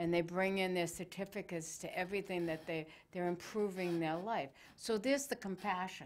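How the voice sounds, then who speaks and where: Speaking at a fairly quick pace, a woman with a medium pitch and ordinary pitch variation has an unremarkable speaking voice. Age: 60s. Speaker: talk show host. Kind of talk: casual interview chat.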